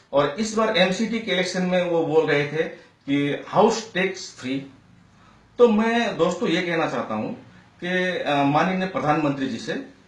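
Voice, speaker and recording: A man with a non-native accent and high pitch talks with lively intonation, amid audible room echo and noticeable background noise. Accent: non-native Hindi speaker. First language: Nepali (speaking Hindi). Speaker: citizen commentator. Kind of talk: political opinion monologue. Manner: halting, many fillers.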